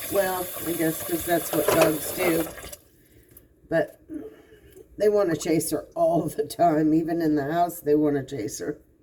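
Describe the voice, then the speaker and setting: Relaxed in tone, a woman speaks at a fairly low pitch and a fairly slow pace. She leaves long, frequent pauses, and background noise is noticeable. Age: 60s. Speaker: vlogger. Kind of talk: casual monologue. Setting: home kitchen, doing dishes. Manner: relaxed, conversational.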